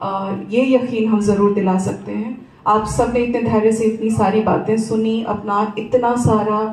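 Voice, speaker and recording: A woman talks with a Bihari accent and a flat, monotone intonation, hardly pausing at all. Room echo is audible, and background noise is noticeable. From Siwan, Bihar, India (raised in cities). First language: Bhojpuri (speaking Hindi). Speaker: former TV journalist, family friend speaker. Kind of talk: memorial tribute speech. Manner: halting, many filler pauses.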